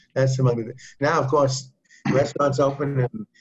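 Somewhat breathy and fairly high, a man's voice moving at a moderate pace. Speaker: physician leading group session. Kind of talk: group discussion on health. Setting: video call.

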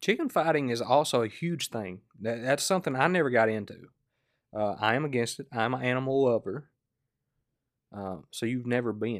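With a Southern US accent, a man talks at a moderate pace in a medium pitch, his pitch varying in an ordinary way. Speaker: podcast host. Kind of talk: casual chat. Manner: laid-back, joking.

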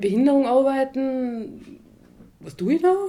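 A woman's voice with very wide swings in pitch. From Austria, Tyrol (Achensee). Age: 20s. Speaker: social care worker and mother. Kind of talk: casual chat.

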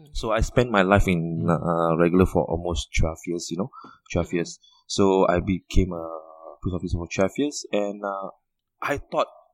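Dry and close with no echo, a man's very deep, low voice moves at a moderate pace with big swings in loudness. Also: ordinary pitch variation. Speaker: debt consultancy director. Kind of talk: interview. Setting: phone or online call.

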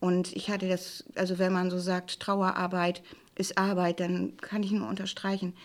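Speaking fairly slowly with fairly even intonation, a woman has an ordinary speaking voice at medium pitch. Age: 60s. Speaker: plain-language office head. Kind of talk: personal testimony on grief.

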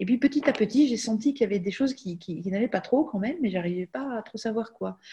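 Her tone is dark and mellow. There is a somewhat breathy quality to this woman's voice. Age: 50s. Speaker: life coach, former physician. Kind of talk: casual interview.

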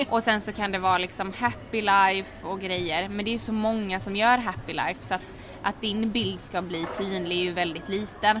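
With music in the background, the speech has a moderate pace and fairly even intonation. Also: woman. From Sweden, Halmstad. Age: 20s. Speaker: hair styling influencer and student. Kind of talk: interview. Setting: café.

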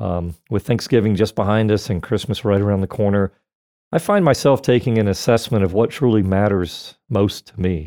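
A man with an American accent speaks at a moderate pace in a fairly low pitch, his tone dark and mellow with ordinary pitch variation. The recording is very clean with a silent background and a dry, close sound with no echo. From Florida. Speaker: radio host. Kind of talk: casual chat. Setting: studio.

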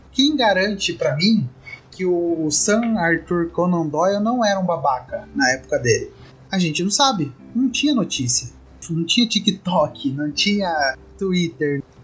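A man with a high pitch speaks at a fairly slow pace, his pitch swinging very widely. Music plays in the background. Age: 20s. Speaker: podcaster. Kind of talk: casual chat.

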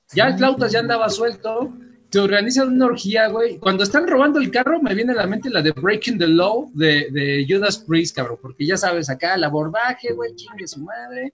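With a high pitch, very wide pitch swings and hardly any pauses, a man talks at a moderate pace over noticeable background noise. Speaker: podcast co-host. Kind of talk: casual chat. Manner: halting, repeats words.

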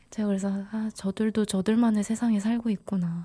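A woman speaks at a medium pitch in a dark, mellow tone. Her voice is somewhat breathy. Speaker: podcast co-host. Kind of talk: casual chat.

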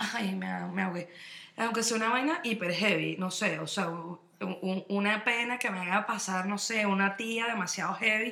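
A woman with a Venezuelan accent speaks at medium pitch in an animated tone. Noticeable background noise and audible room echo surround her. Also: ordinary pitch variation, moderate pace. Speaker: podcast co-host. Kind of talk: casual chat.

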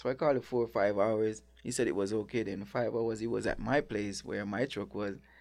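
Speaking at a fairly quick pace with hardly any pauses, a man with a Jamaican accent talks at a fairly low pitch. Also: ordinary pitch variation. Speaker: restaurant owner and chef. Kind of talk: casual interview.

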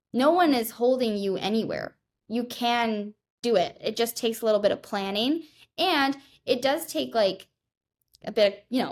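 On a very clean recording with a silent background, a woman with a fairly high pitch and ordinary pitch variation speaks in a normal speaking voice. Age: 20s. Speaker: law student and fitness influencer. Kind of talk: casual chat.

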